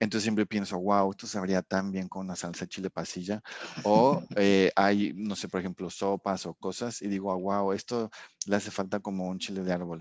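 The speech is flat and monotone, at a moderate pace. It sounds dry and close with no echo, over a quiet background. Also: man, fairly low pitch for a man. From Mexico. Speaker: sensory and consumer research scientist. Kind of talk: casual interview chat.

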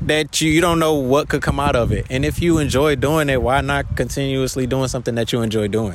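Over noticeable background noise, a man with an American accent talks at a fairly high pitch with ordinary pitch variation. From Detroit. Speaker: rapper. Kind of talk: casual interview. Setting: live music event.

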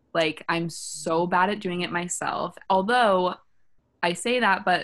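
A woman with a normal speaking voice, fairly low in pitch, at a fairly slow pace. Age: 20s. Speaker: dating podcast co-host. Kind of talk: casual chat.

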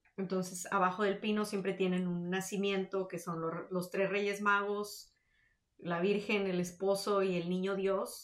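This woman talks at a fairly slow pace in a medium pitch, her intonation monotone and flat. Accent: northern Mexican. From Mexico, Tamaulipas (Victoria). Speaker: podcast co-host. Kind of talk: casual chat.

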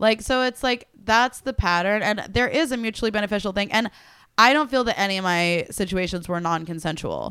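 With a plain, everyday voice at a medium pitch, a woman talks at a fairly quick pace on a very clean recording with a silent background. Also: ordinary pitch variation. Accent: American. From Tulsa, Oklahoma. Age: 20s. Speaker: comedian. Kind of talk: casual chat.

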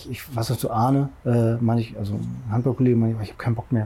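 Somewhat breathy male voice at medium pitch, fairly quick in pace, fairly even in intonation, with a dark, mellow tone. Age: 40s. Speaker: CrossFit masters athlete and personal trainer. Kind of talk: casual interview. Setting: outdoors in a garden.

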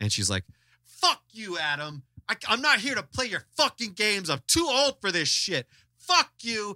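At a moderate pace, a man with a high voice projects loudly, his pitch swinging very widely, in a dry, close sound with no echo. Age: 30s. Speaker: podcast host. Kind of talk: casual chat. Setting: video call. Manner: animated.

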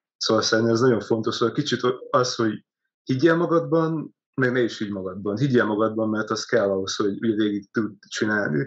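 Fairly quick speech from a man in a plain, everyday voice, medium in pitch with ordinary pitch variation. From Hungary, Karcag (Great Plain). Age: 20s. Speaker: startup community founder. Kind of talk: interview.

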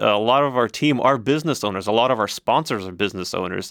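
A man speaks in a normal speaking voice at a fairly quick pace. The recording is very clean, with a silent background. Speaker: nonprofit civic organization host. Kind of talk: interview.

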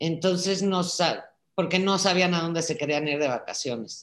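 This woman has an ordinary speaking voice. Her pitch is fairly low, with ordinary pitch variation. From Czech Republic, raised in Prague, later Mexico. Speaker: daughter of a Holocaust survivor. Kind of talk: video call conversation. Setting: video call.

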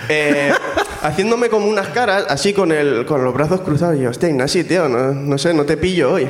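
Over noticeable background noise, a man with a fairly high pitch speaks with lively intonation and very even loudness. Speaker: comedy scriptwriter. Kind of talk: storytelling on stage. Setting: stage with audience.

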